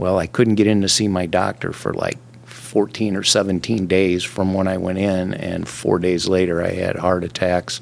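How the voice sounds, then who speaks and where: Over noticeable background noise, the speech runs at a moderate pace with hardly any pauses and a monotone, flat intonation. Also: man, very deep, low pitch for a man. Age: 60s. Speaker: railroad worker, heart patient. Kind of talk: interview, personal testimony.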